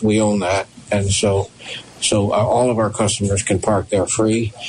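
Over noticeable background noise, a man speaks in a fairly low pitch at a fairly slow pace. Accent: American. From Waterbury, Connecticut. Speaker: restaurant owner. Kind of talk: casual chat.

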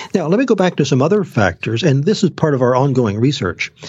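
A man's somewhat breathy voice at a fairly quick pace, with very wide pitch swings. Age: 60s. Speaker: genetics researcher and naturopath. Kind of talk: interview.

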